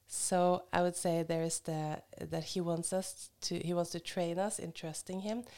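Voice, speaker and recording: Speaking with a Norwegian accent, a woman uses a fairly low pitch and a dark, mellow tone. Her fairly slow speech has hardly any pauses and a monotone, flat intonation. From Norway (Hamar). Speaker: missionary and Bible teacher. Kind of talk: casual interview.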